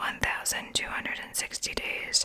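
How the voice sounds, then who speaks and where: The words come out as a whisper. The pace is fairly slow, with noticeable noise behind it. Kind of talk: ASMR whispered Bible reading. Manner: whispered.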